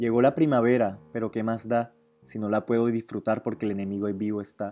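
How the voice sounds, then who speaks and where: A man talks at a fairly quick pace over music in the background. His intonation stays fairly even at a medium pitch. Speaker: student. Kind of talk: reading aloud.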